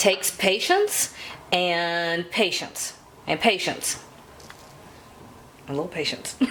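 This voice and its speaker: A woman speaks very slowly with a Southern US accent, her pitch fairly low. Her intonation stays fairly even, broken by long, frequent pauses. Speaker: cooking channel host. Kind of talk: cooking tutorial. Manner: casual, chatty.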